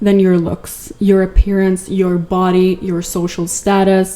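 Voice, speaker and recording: A woman speaks at a fairly slow pace, with a medium pitch and a non-native accent. Noticeable background noise runs underneath. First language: not English. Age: 20s. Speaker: content creator. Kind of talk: casual video essay. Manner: animated.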